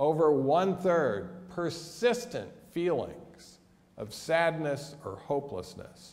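Vocal fry marks this man's voice, which sits at a fairly high pitch. He speaks at a very slow pace. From USA. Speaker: physician and mental health educator. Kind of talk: lecture. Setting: church hall with audience. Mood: earnest, concerned. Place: hall.

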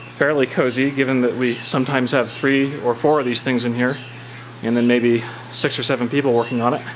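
Light noise in the background, the speech at a moderate pace. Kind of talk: tour commentary. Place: workshop. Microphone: phone near.

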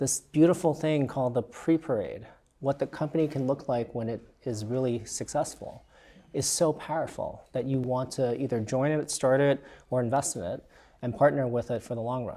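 Moving at a moderate pace, a man speaks with fairly even intonation. His tone is dark and mellow. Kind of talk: interview answer. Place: studio. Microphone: lapel.

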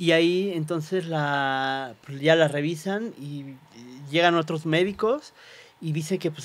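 A man speaks in a fairly high voice, at a fairly slow pace. His pitch varies in an ordinary way. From Cuernavaca, Mexico; Mexico. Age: 30s. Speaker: physician and social media creator; social media creator. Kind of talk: testimony. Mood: earnest, recounting painful loss. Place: studio. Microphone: studio mic.

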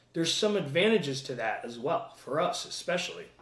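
Pitched high for a man, his voice moves at a moderate pace with ordinary pitch variation and audible room echo. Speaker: hunting channel host. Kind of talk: tutorial. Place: home room. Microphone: camera far.

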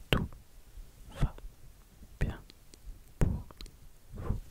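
A man is whispering. His voice stays at a whisper throughout. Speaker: ASMR creator. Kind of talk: ASMR unboxing. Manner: whispered. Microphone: studio mic.

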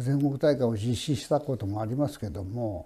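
This man's voice is somewhat breathy, with a dark, mellow tone. His pitch sits in the medium range and his intonation is lively. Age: 70s. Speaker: sumo federation official, award recipient. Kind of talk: interview. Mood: modest, pleased. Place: office.

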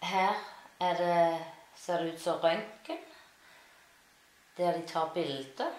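This is a woman speaking. Her pitch is fairly low. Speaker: language teacher. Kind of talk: language lesson explaining pictures.

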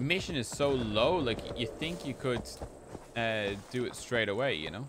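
Against noticeable background noise, a man speaks with lively intonation at a fairly slow pace, in a dry sound with no echo. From Ireland. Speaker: game streamer. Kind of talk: casual gaming commentary. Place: home room. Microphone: studio mic.

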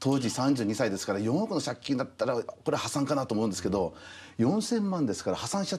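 The speech moves at a fairly quick pace with very wide pitch swings. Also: man. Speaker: restaurant company CEO; guest. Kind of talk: TV interview. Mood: friendly, smiling. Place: studio. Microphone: lapel.

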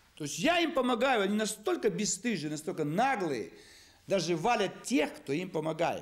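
In a quiet background, a man speaks at a moderate pace. His pitch swings very widely. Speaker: politician. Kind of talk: interview answer. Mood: indignant, accusatory. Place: office.

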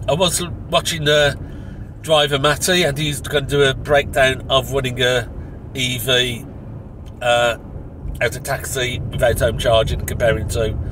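Speaking at a moderate pace with long, frequent pauses, a man sounds dry with no echo against light background noise. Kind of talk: casual vlog chat. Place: car. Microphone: phone near.

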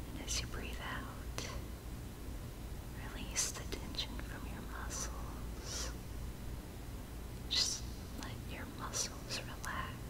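Against loud background noise, a woman talks at a very slow pace with long, frequent pauses. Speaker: hypnosis guide. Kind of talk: ASMR guided relaxation hypnosis. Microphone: studio mic.

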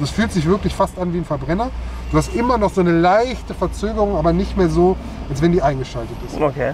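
Very fast speech with a dry sound with no echo and noticeable background noise. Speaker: car salesman or expert. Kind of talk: explanatory product demonstration. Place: car.

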